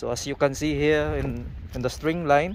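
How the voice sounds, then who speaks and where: The speaker talks at a fairly slow pace in a Filipino accent. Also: man. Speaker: construction worker vlogger. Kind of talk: casual vlog tutorial. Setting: outdoors on construction site. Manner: halting.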